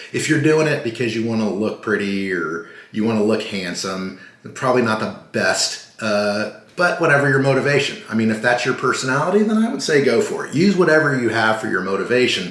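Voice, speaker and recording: With audible room echo and noticeable background noise, a man speaks at a fairly quick pace and medium pitch with lively intonation. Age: 60s. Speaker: vlogger. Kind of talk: casual vlog monologue. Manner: rambling, tangential; casual with filler words.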